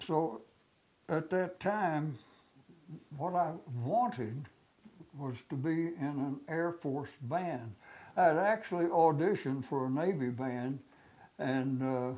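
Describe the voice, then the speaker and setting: A man's fairly high-pitched voice with a dark, mellow tone and ordinary pitch variation, at a very slow pace with long, frequent pauses. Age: 90s. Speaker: war veteran. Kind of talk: oral history interview. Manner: halting, many fillers.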